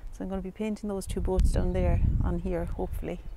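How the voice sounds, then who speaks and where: A woman at a fairly quick pace, dry with no echo, amid loud background noise. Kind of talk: tutorial. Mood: cheerful, relaxed. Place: waterside. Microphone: lapel.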